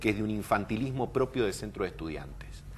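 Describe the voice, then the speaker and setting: Vocal fry runs through a man's fairly low-pitched voice. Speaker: political commentator. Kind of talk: TV political interview.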